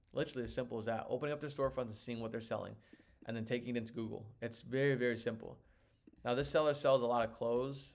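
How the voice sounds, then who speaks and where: A man talks at a very fast pace with vocal fry. His intonation is fairly even. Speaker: online seller and course teacher. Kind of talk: live tutorial. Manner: casual, filler-heavy.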